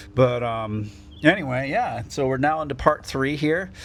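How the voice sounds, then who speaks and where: A man speaks at a fairly slow pace, his pitch medium with ordinary variation. Audible room echo surrounds his voice. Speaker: podcast host. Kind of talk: casual chat. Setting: on a porch, rainy day. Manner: loud.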